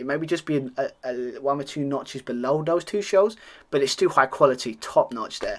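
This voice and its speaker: A man speaks at a fairly high pitch and a fairly quick pace, with ordinary pitch variation. The recording is very clean, with a silent background. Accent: British. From Britain. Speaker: wrestling podcast host. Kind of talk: solo review monologue. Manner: halting.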